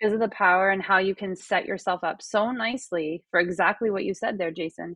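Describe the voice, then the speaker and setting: Fairly even intonation marks a woman's plain, everyday voice at medium pitch. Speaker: podcast host. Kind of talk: interview.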